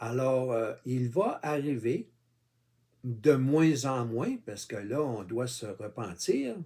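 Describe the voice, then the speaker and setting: A man in a Quebec accent, very slow, with a dark, mellow tone, a medium pitch and ordinary pitch variation. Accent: Québécois. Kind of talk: informal religious monologue. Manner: halting, many fillers; casual, addresses viewer with tu.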